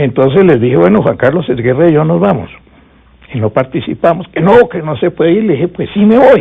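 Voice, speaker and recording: A man with a fairly high voice speaks fairly quickly, his pitch swinging very widely. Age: 70s. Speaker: veteran politician and former constitutional assembly member. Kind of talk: interview, storytelling.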